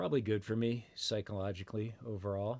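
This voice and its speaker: A man with an American accent, medium pitch and moderate pace. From Massachusetts (Brookline, Boston area). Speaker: experimental musician and university media lecturer. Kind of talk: casual interview chat. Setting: remote call. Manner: halting, many fillers and restarts.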